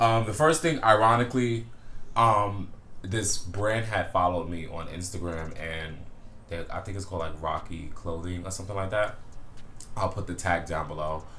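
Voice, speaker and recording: In a relaxed tone, a man with a very deep, low pitch and a bright, sharp tone speaks at a moderate pace with audible room echo. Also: ordinary pitch variation. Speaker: men's fashion YouTuber. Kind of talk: casual vlog. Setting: indoors at home, window open. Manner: relaxed, many fillers.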